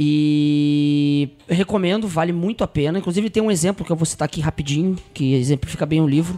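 With music in the background, the speech runs on with hardly any pauses at a very even loudness. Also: man, fairly high pitch for a man, ordinary pitch variation, fairly quick pace. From São Paulo, Brazil. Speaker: podcast guest. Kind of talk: casual chat.

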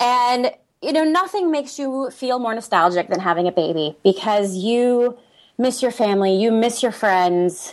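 In a very clean recording with a silent background, a woman with an American accent speaks fairly slowly at a fairly high pitch with lively intonation. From US, San Diego, California. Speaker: opera singer and expat group founder. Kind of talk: casual interview.

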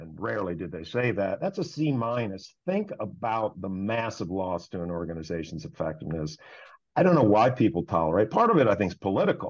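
Speaking at a fairly quick pace, a man has an unremarkable speaking voice. His pitch is fairly low, with lively intonation. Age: 50s. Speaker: meeting facilitation consultant. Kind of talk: interview.

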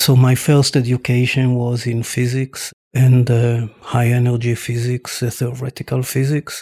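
A man's medium-pitched, dark, mellow voice, somewhat breathy and flat in intonation, at a fairly slow pace with a dry, close sound and no echo. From Israel, Tel Aviv. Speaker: scientist. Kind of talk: interview.

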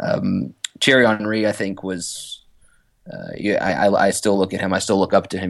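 A man with an American accent speaks at a moderate pace. His pitch sits fairly low, and his intonation stays fairly even. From US South, Roanoke, Virginia. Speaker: former professional footballer and scout. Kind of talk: casual interview. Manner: halting, many fillers and repetitions.

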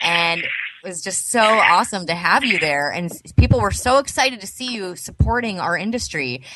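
The pitch swings very widely and the loudness rises and falls sharply, at a moderate pace with hardly any pauses. Noticeable background noise runs underneath. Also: woman, medium pitch for a woman. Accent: Southern California. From Los Angeles, San Fernando Valley. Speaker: podcast host, cannabis entrepreneur. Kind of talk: casual interview. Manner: animated.

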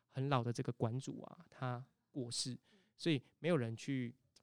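A man speaks at a medium pitch. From Taiwan, Tainan. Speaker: temple festival culture practitioner. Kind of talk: casual interview.

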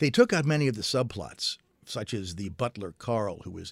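On a very clean recording with a silent background, a man with an American accent speaks in a normal speaking voice at a moderate pace with ordinary pitch variation. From Maryland, US. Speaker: author and film historian. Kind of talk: interview.

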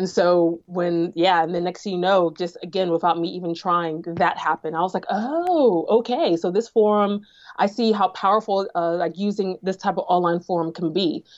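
Talking at a moderate pace with hardly any pauses, a woman speaks at a medium pitch. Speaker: social media strategist. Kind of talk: casual interview chat. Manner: animated, casual.

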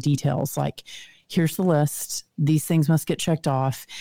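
A woman talks in a Texan accent at a very deep, low pitch, her tone dark and mellow. She keeps a moderate pace with ordinary pitch variation, in a dry, close sound with no echo. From Texas. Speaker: author and speaker. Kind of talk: casual interview chat. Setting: video call.

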